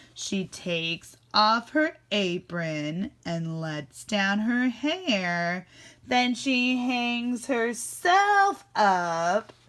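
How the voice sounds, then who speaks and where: A woman with a fairly high pitch talks at a very slow pace. The recording is very clean, with a silent background. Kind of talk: classroom read-aloud. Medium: read story. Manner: warm, animated.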